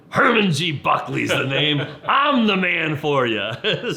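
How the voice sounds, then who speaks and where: In a put-on character voice, a man speaks gravelly and fairly slowly at a fairly high pitch. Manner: bold, charismatic.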